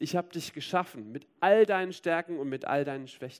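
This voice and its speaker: Using an ordinary speaking voice, a man with a fairly high pitch shows ordinary pitch variation. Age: 30s. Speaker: preacher. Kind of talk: sermon.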